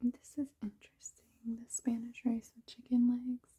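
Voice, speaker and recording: A woman is soft-spoken and somewhat breathy, with a dark, mellow tone. The sound is dry and close with no echo. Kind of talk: ASMR cookbook browsing ramble.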